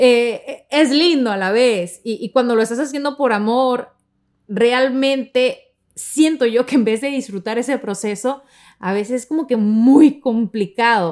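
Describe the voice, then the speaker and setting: A high-pitched woman's voice at a fairly slow pace, with ordinary pitch variation. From Mexico, Sonora. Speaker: podcast host. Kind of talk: personal storytelling monologue.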